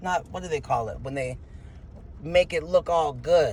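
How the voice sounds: At a fairly slow pace, a man speaks at a fairly high pitch with ordinary pitch variation and a slightly mellow tone.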